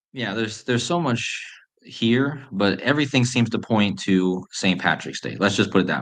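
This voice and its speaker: Soft-spoken and at a moderate pace, a man talks in a medium pitch with vocal fry and lively intonation. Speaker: conspiracy decoding YouTuber. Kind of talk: live stream chat. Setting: home live stream at night.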